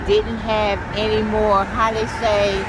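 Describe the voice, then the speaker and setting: A woman with an American accent, amid noticeable background noise and audible room echo. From Indianapolis, Indiana. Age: 60s. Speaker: homeless woman interviewed. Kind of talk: street interview.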